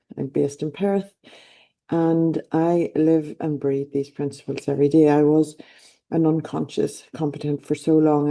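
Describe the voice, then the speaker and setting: A woman with an Irish accent talks at a moderate pace in a very deep, low voice with a dark, mellow tone. Her intonation stays monotone and flat. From Ireland. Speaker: life coach. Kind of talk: motivational talk. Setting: online event.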